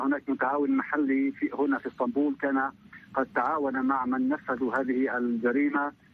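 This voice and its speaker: Male voice at a moderate pace, fairly even intonation, dry sound with no echo. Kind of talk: interview answer. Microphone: phone line.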